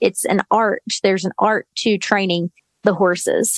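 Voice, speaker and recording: A woman talks in a normal speaking voice at a fairly slow pace with fairly even intonation, the sound dry and close with no echo. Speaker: podcast host. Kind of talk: interview, casual chat.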